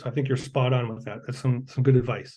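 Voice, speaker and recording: In a somewhat breathy voice, a man talks at a medium pitch. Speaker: accessibility specialist presenting at a conference. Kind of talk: conference presentation with Q&A. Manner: fast.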